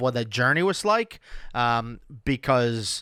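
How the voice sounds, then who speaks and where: The recording is very clean, with a silent background and a dry, close sound with no echo. A man speaks at a medium pitch in a bright, sharp tone. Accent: Spanish. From Venezuela. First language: Spanish. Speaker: podcast host and CRM consultant. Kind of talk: casual solo podcast talk. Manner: hesitant, many fillers and restarts.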